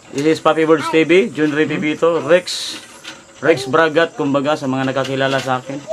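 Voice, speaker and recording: A man with a fairly high pitch talks at a moderate pace, with noticeable background noise in the recording. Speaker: vlogger and street vendor. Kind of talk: livestream appeal to viewers. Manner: halting.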